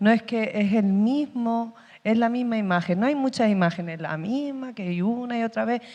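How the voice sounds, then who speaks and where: Over a quiet background, a woman with an Andalusian accent speaks in a fairly high pitch, her tone dark and mellow, with ordinary pitch variation. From Andalusia, Spain. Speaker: actress. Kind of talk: panel discussion. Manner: halting.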